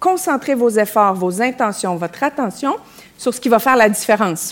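With a Quebec accent, a woman speaks fairly high for a woman, her intonation lively. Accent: Québécois. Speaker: women's leadership coach. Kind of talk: live panel talk. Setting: theatre stage with audience.

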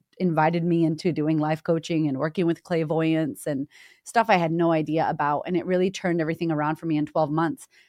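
In a Boston accent, a woman speaks fairly quickly at a fairly low pitch, the sound dry and close with no echo. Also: quiet background. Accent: Boston American. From Boston, Massachusetts, US. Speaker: confidence coach. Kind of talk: interview conversation. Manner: animated.

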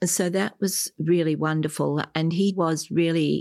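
A fairly slow, flat, monotone delivery in an Australian accent. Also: woman. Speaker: adoptee sharing family story. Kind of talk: interview testimony.

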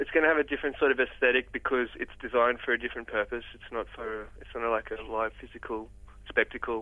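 Speaking at a very fast pace, a man talks in an Australian accent. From Australia, Port Macquarie NSW. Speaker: musician. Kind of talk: interview. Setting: phone call.

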